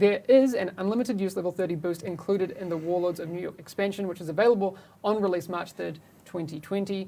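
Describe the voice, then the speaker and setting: A woman with a medium pitch speaks at a very fast pace with ordinary pitch variation and big swings in loudness. Noticeable background noise runs beneath her. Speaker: game community host. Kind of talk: live stream discussion.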